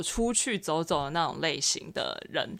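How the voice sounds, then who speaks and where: A woman's fairly low-pitched voice at a very slow pace, in a very clean recording with a silent background. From Taiwan, Xinzhuang. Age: 20s. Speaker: university student. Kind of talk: casual chat.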